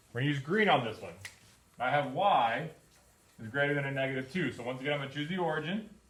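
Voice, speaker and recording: Very fast, fairly high-pitched male speech with noticeable background noise and audible room echo. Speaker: math teacher. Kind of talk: classroom lesson. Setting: classroom with students.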